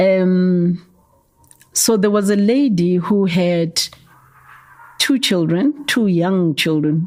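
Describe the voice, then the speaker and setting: With a Gauteng accent, a woman talks at a very slow pace in a medium pitch, with long, frequent pauses, ordinary pitch variation and very even loudness. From South Africa, Soweto, Gauteng. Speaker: youth development founder. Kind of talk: interview. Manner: hesitant, repeats words.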